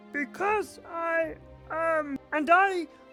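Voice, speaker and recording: An extremely high-pitched, put-on character voice. Clear music plays in the background. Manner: funny put-on voice.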